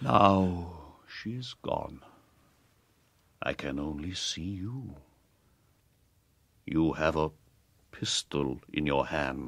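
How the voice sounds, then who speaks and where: Very slow and full of long, frequent pauses, a man uses a put-on character voice with a very deep, low pitch and lively intonation. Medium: audio drama. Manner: halting, broken, visionary.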